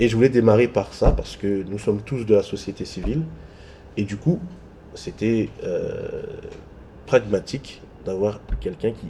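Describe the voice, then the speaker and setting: A man at a moderate pace. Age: younger than guest. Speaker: interviewer. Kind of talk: interview; introduction to viewers.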